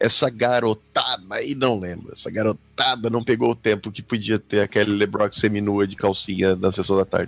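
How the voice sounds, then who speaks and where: A man talks at a moderate pace in a plain, everyday voice with fairly low pitch. His intonation is fairly even, with hardly any pauses. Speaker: podcast co-host. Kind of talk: casual chat.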